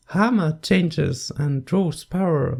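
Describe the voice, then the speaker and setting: A non-native accent is heard on a very clean recording with a silent background. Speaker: video essayist. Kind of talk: video essay commentary narration.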